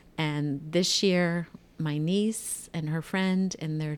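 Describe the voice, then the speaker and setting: Very slow speech with a fairly even intonation and an American accent, in a very clean recording with a silent background. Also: woman. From Ohio, US. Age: 60s. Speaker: retiree guest. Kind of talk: casual interview chat.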